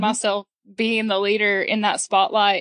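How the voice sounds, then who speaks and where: Heard against a quiet background with a dry, close sound and no echo, a woman speaks in a plain, everyday voice at a fairly high pitch and a moderate pace. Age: 20s. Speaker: teacher and rancher. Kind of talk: casual interview.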